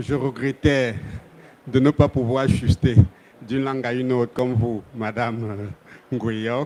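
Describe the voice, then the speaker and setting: A man of medium pitch speaks at a moderate pace with fairly even intonation, taking long, frequent pauses amid noticeable background noise. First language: French. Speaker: development bank official. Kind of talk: panel discussion.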